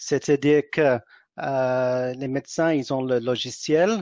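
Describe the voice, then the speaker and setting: With an English accent, a man speaks fairly slowly at a fairly high pitch with fairly even intonation, the sound dry and close with no echo against a quiet background. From England. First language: English (speaking French). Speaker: entrepreneur. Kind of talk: interview. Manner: halting, many fillers and repetitions.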